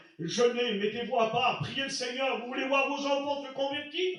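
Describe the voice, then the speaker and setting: Loud and extremely high-pitched, a man speaks at a moderate pace amid audible room echo and noticeable background noise. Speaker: pastor. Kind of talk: sermon. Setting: church.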